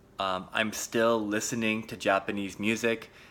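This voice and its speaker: On a very clean recording with a silent background, a man with an American accent speaks in a fairly low pitch with a bright, sharp tone. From US Pacific Northwest, Seattle. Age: 30s. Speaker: English teacher / language podcaster. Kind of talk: personal story for English learners. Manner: slow, clear with many fillers.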